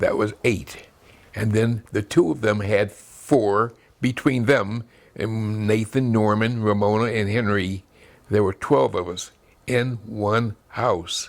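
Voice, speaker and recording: A man with an American accent and a fairly low pitch speaks at a very slow pace in a very clean recording with a silent background. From US Midwest, Chicago South Side. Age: 80s+. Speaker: elderly family member recalling his childhood. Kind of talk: family oral history interview.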